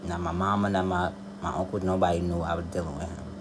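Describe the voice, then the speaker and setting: A man keeps to a moderate pace. His voice carries audible room echo, with noticeable background noise behind it. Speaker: tarot reader and spiritual advisor. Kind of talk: casual personal monologue.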